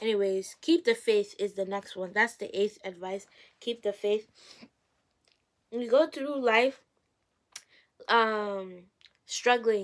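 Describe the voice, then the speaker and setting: A woman's fairly high voice at a very slow pace, with big swings in loudness, long, frequent pauses and ordinary pitch variation. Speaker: YouTuber giving faith-based advice. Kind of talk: casual vlog advice talk. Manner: halting, with repeated words. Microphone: poor recording quality.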